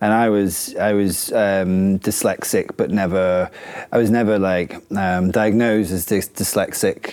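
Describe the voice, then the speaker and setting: A man with a northern English accent speaks at a fairly slow pace in a fairly low pitch. His intonation is monotone and flat, and his loudness stays very even. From northern England. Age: 30s. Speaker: chef and restaurant owner. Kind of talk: interview. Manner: hesitant, many fillers.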